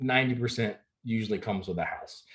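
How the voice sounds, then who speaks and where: A man's somewhat breathy voice at a medium pitch. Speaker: real estate agent. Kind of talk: presentation on home buying. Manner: fast.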